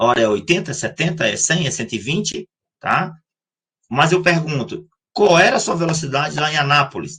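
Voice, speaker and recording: The man's voice has a bright, sharp tone, vocal fry and lively intonation. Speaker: math teacher. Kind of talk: lecture. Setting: live online class. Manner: fast.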